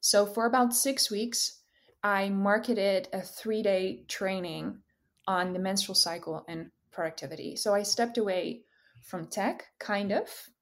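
Spoken with a Dutch accent, the speech moves at a fairly slow pace with ordinary pitch variation. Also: woman, medium pitch for a woman, very clean recording, silent background. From Netherlands. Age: 20s. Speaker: career coach. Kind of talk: casual chat.

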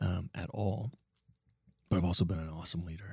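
Somewhat breathy and pitched very deep and low, a man speaks with fairly even intonation in a very clean, dry, close recording with no echo and a silent background. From Nova Scotia, Canada. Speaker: restaurateur and social entrepreneur. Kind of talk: casual interview conversation.

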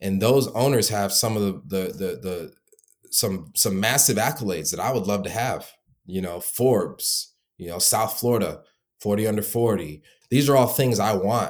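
Featuring a normal speaking voice, a man talks at a moderate pace with a fairly low pitch and ordinary pitch variation. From Michigan. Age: 20s. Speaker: founder of a call center business for home service contractors. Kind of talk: interview.

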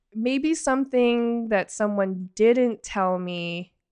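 A woman at a very slow pace over background music. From Canada, Toronto area (Markham). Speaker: automotive journalist and editor. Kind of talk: casual interview chat.

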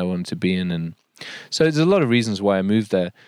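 The voice carries a Yorkshire accent. The sound is dry and close with no echo, on a very clean recording with a silent background. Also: man. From Yorkshire, England. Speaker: nature writer. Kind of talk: casual interview. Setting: outdoors.

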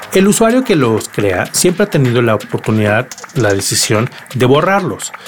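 A man speaks with very wide swings in pitch. His loudness stays very even over noticeable background noise. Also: medium pitch for a man, moderate pace. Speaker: tech podcast host. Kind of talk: solo podcast monologue.

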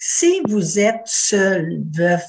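Her voice sits at medium pitch and sounds somewhat breathy. The woman's intonation is lively. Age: 80s+. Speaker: retiree, former president of seniors' federation. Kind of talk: panel discussion. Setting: video call.

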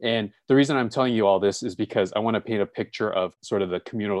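With an American accent, a man speaks at a fairly quick pace and ordinary pitch variation. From Los Angeles, US. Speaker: nonprofit operations specialist and author. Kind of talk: interview and software tutorial.

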